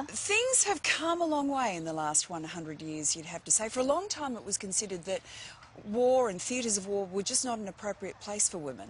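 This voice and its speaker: Speaking fairly quickly with an Australian accent, a woman uses a medium pitch that moves in very wide swings. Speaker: TV presenter. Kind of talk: morning TV presenter.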